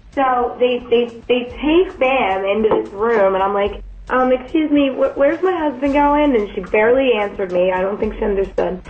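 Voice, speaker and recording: With an American accent, a woman talks at a moderate pace in a high pitch, her intonation lively and hardly any pauses, over noticeable background noise. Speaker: new wife on honeymoon, co-speaker. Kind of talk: casual chat. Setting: hotel room in Dubai.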